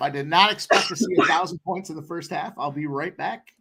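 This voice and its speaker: Raising and projecting his voice, a man speaks at a very fast pace with a bright, sharp tone. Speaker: sports betting stream host. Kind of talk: casual chat. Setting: live stream.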